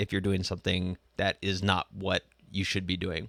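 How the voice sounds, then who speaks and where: A man speaks with a dry, close sound that has no echo. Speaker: business coach and vlogger. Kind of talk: motivational vlog monologue. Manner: casual, conversational.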